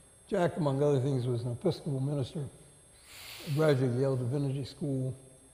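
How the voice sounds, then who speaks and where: Talking at a very fast pace, a man with a fairly high pitch and a dark, mellow, somewhat breathy tone uses ordinary pitch variation amid audible room echo. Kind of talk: on-stage interview.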